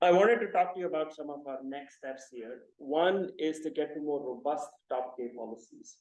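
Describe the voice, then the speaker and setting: A man with a Marathi accent speaks at a fairly high pitch with ordinary pitch variation. Audible room echo surrounds his voice. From India, Mumbai. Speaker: computer science professor. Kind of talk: lecture. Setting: seminar with audience.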